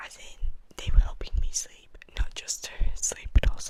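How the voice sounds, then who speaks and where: A woman whispers at a moderate pace while noticeable background noise carries on around her. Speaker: ASMR artist. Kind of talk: ASMR whisper ramble. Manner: whispered.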